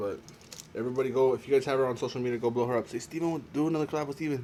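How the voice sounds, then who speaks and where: The voice moves at a very fast pace with ordinary pitch variation over noticeable background noise. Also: man. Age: 20s. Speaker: YouTuber. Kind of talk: casual vlog Q&A while eating. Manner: halting, repeats words.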